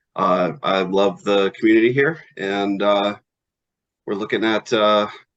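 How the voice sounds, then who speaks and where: Against a quiet background, a man with an upstate New York accent talks at a fairly low pitch with fairly even intonation. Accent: upstate New York American. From upstate New York (Elmira). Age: 40s. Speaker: town board candidate. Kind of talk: interview. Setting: video call.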